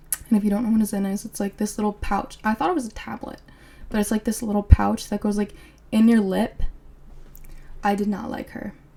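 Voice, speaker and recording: A fairly high-pitched woman's voice with an American accent, dark and mellow in tone, somewhat breathy, fairly quick yet broken by long, frequent pauses, with fairly even intonation. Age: 20s. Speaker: podcast host. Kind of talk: casual chat.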